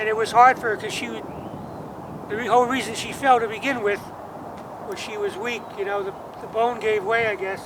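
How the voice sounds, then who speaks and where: With an American accent, a man speaks at a fairly quick pace in a high, monotone voice with flat intonation and long, frequent pauses. Audible room echo and noticeable background noise fill the recording. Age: 60s. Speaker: musician. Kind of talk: personal vlog monologue. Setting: outdoors at cemetery grave. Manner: halting.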